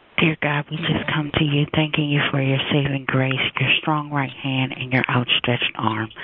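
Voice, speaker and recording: A woman with a very deep, low pitch speaks in a flat monotone. She keeps a moderate pace over noticeable background noise. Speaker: caller praying. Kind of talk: fervent prayer. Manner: bold, declaring, emphatic.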